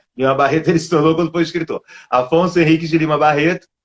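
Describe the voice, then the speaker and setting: A man with a Rio de Janeiro accent speaks at a fairly high pitch. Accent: carioca (Rio de Janeiro). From Brazil, Rio de Janeiro. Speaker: literature scholar, doctoral researcher. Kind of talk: online lecture-style interview.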